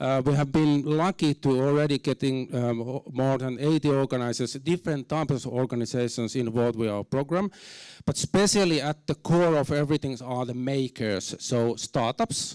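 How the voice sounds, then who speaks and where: In a Finnish accent, a man speaks at a moderate pace in a medium pitch with ordinary pitch variation, the sound dry and close with no echo. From Finland. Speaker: university program director. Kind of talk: conference talk. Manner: halting, many fillers; reserved, not very expressive.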